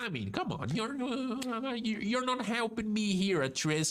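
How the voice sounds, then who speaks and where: With a Brazilian Portuguese accent, a man speaks at a high pitch with ordinary pitch variation. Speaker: vtuber. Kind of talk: casual chat. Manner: halting; animated.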